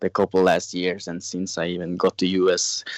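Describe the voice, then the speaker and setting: A man with a Norwegian accent speaks at a moderate pace, his pitch very deep and low. The sound is dry and close with no echo. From Norway. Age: 20s. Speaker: snowmobile racer. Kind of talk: interview. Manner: halting.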